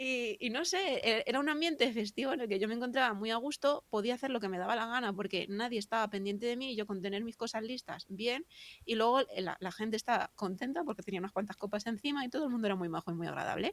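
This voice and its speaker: Very fast speech from a woman with a fairly high pitch, ordinary pitch variation and hardly any pauses. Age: 30s. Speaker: digital marketer. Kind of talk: casual interview chat. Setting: live stream.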